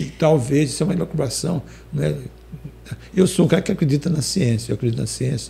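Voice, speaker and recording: A man speaks at a very fast pace yet takes long, frequent pauses. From Maranhão, Brazil. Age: 70s. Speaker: singer-songwriter. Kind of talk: interview. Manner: hesitant, many fillers.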